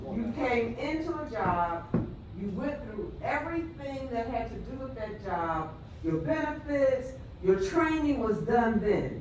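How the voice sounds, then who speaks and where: A woman speaks fairly slowly at a fairly high pitch, with very wide pitch swings. Audible room echo and noticeable background noise surround her voice. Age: 70s. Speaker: retired nurse and audience member. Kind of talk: panel discussion comment.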